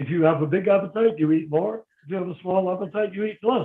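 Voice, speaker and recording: Speaking at a very fast pace, a man with an American accent uses a high pitch. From United States. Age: 70s. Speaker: religious teacher. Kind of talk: question and answer talk.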